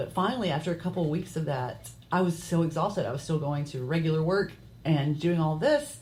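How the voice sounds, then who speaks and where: The speech moves at a fairly quick pace with ordinary pitch variation. Vocal fry comes through. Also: woman, very deep, low pitch for a woman. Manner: fast.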